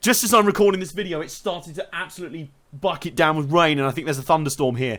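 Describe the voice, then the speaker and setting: He speaks with a British accent. The speaker is a man. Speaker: motorsport video commentator. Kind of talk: casual analysis monologue. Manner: fast.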